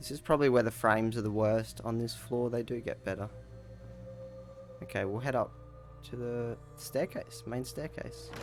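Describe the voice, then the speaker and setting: Over music in the background, a man with an Australian accent speaks at a moderate pace with long, frequent pauses. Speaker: gaming youtuber. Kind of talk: game walkthrough tour. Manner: casual.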